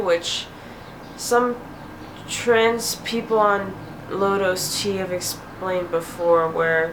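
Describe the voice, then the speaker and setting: Very slow speech with fairly even intonation, amid noticeable background noise and audible room echo. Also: woman. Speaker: video blogger. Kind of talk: casual vlog update. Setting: home, window open.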